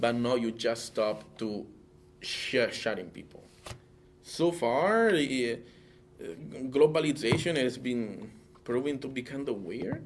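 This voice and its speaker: A man with a non-native accent talks at a very slow pace, leaving long, frequent pauses. His pitch is medium with ordinary variation, and there is noticeable background noise. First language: not English; English is third language. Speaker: interviewee. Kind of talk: interview. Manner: halting, many fillers and repetitions.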